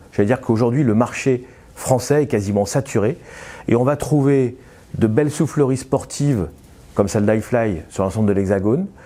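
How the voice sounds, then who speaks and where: A man speaks in a dark, mellow tone at a medium pitch with ordinary pitch variation. His pace is moderate, his loudness very even, and his pauses long and frequent. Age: 60s. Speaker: business owner. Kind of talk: interview. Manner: hesitant, frequent filler sounds.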